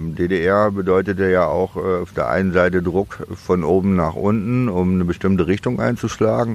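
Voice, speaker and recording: A man at a fairly slow pace in a very deep, low pitch with ordinary pitch variation, against noticeable background noise. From East Germany, Demmin (Mecklenburg-Vorpommern). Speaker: metal festival organizer. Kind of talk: casual interview.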